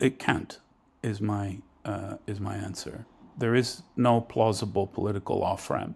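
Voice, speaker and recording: Fairly slow and somewhat breathy, a man speaks in a fairly low pitch with fairly even intonation, recorded very cleanly against a silent background. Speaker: professor of war studies. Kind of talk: interview. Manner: halting, many fillers.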